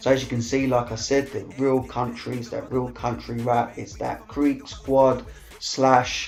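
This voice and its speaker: In an East London accent, a man speaks at a fairly slow pace and medium pitch, with monotone, flat intonation. Noticeable background noise runs underneath. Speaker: music showcase host. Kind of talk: casual commentary. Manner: halting, many fillers.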